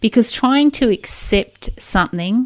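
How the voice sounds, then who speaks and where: Lively intonation marks delivery that moves very slowly. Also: woman. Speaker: podcast host and divorce coach. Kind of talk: podcast monologue.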